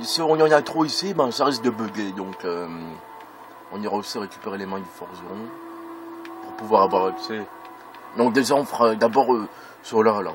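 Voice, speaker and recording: A man speaks at a medium pitch and a moderate pace while noticeable background noise plays. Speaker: gaming video creator. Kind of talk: let's play commentary. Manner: hesitant, many fillers.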